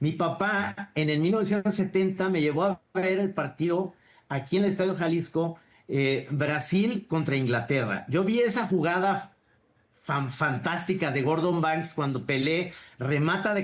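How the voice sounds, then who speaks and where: Here a man talks at a high pitch and a fairly slow pace. His loudness stays very even. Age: 60s. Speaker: cartoonist. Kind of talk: interview. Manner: halting, many repetitions and fillers.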